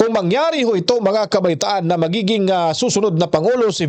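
A man's high-pitched voice with ordinary pitch variation and noticeable background noise. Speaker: news reaction video host. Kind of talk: news commentary.

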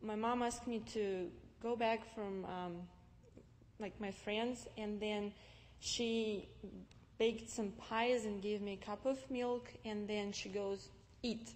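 A woman speaks at a very slow pace in a monotone, flat intonation. She leaves long, frequent pauses. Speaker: guest. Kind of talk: personal testimony talk. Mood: calm, reflective. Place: church.

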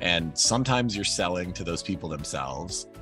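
Over clear background music, a man with a very deep, low pitch talks at a fairly quick pace, the sound dry with no echo. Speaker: guest. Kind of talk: interview answer. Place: office. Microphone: video call.

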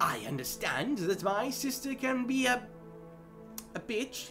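Set against clear background music, a put-on character voice with a fairly high pitch moves at a fairly slow pace. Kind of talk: comic dub dialogue.

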